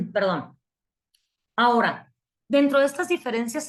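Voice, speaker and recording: A woman's somewhat breathy voice with a northern Mexican accent and ordinary pitch variation. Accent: northern Mexican (Chihuahua). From Mexico, Chihuahua. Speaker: psychology lecturer. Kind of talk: online lecture. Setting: online class.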